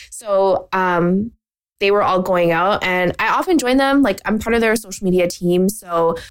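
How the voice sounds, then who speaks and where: A normal speaking voice, with ordinary pitch variation, moves at a moderate pace. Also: woman. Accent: Canadian. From Canada. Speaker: podcast host and marketing business owner. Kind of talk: casual solo chat.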